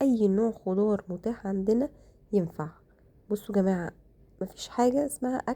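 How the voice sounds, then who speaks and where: At a fairly slow pace, a woman speaks at medium pitch with ordinary pitch variation, a somewhat breathy quality and a dark, mellow tone. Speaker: cooking vlogger. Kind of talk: cooking tutorial.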